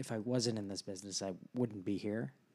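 Moderate pace and medium pitch from a man with an American accent. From San Diego, California. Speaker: guest, married to a co-guest. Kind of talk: casual conversational interview.

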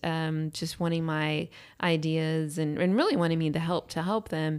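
Recorded very cleanly against a silent background, a woman with an unremarkable speaking voice talks at a moderate pace and a fairly low pitch. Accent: American. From Austin, Texas. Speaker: real estate agent and builder. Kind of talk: casual chat.

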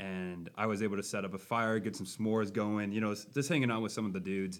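A man's fairly low voice in an American accent. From Minnesota, Buffalo. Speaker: Bible camp intern, podcast co-host. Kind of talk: casual chat. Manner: animated.

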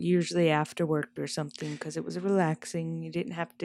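The speaker is a soft-spoken woman. She talks at a moderate pace. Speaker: podcast co-host. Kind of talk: casual chat. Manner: soft-spoken, quiet.

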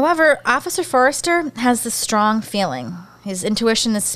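A woman with a Philadelphia accent speaks at a fairly quick pace in a fairly high pitch, with very wide pitch swings. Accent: Philadelphia-area American. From US, Pennsylvania (Bucks County, near Philadelphia). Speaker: podcast host. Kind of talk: casual chat.

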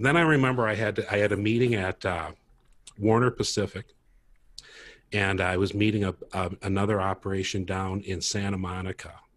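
An unremarkable speaking voice, male and fairly low-pitched, with an American accent, ordinary pitch variation and a fairly quick pace. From Minnesota, US Midwest. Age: 50s. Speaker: tech startup co-founder, insurance broker. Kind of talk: casual interview.

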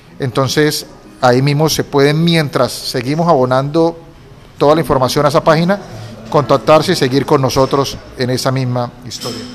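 Noticeable background noise sits under a man's fairly high voice. He speaks at a moderate pace with fairly even intonation. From Colombia, Cúcuta. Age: 40s. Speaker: lawyer and entrepreneur. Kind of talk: interview.

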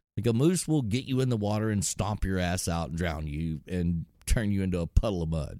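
A man with a Texan accent speaks at a very deep, low pitch in a dark, mellow tone, with lively intonation and hardly any pauses. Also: fairly quick pace. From Texas. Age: 40s. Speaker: entrepreneur and hunter. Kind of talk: casual chat.

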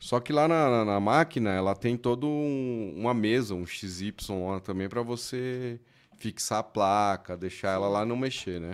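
Here is a normal speaking voice at a fairly slow pace, with ordinary pitch variation. The recording is very clean, with a silent background. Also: man, medium pitch for a man. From Mauá, São Paulo, Brazil. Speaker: electronics repair technician. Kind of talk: casual chat.

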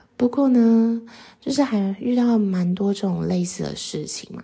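A woman talks at a moderate pace and a medium pitch, with ordinary pitch variation. Noticeable background noise runs under her voice. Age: 20s. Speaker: podcast host. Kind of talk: casual monologue. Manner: hesitant, many fillers.

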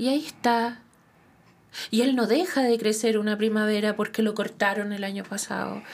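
In a Chilean accent, a woman talks at a moderate pace with a fairly high pitch and fairly even intonation. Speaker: tarot reader and therapist. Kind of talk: interview.

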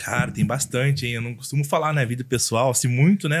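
This man's voice sits at a medium pitch. The recording is very clean, with a silent background. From interior of São Paulo state, Brazil. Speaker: social media influencer. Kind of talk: casual podcast interview.

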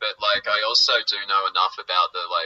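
A man with an Australian accent. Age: 30s. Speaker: musician. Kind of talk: casual chat.

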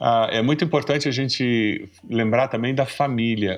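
A man at a moderate pace and medium pitch, fairly even intonation, a plain, everyday voice, quiet background. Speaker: pastor and seminary professor. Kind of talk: casual chat. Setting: video call.

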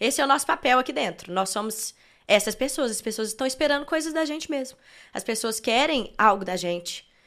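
Her high voice has lively intonation as the woman speaks. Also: fairly quick pace. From Belo Horizonte, Minas Gerais, Brazil. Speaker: worship singer. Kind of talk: casual interview. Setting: studio.

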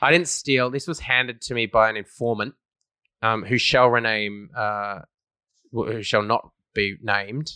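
A man speaks at a fairly slow pace in an Australian accent, his pitch medium and its variation ordinary. His tone is bright and sharp, and the recording is very clean with a silent background. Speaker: football podcast host. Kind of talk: casual banter, sports podcast.

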